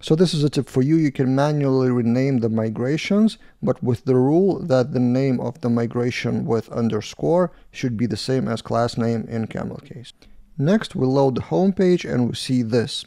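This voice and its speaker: A man with a dark, mellow tone and ordinary pitch variation against a quiet background. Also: moderate pace. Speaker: developer reviewing code. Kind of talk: tutorial.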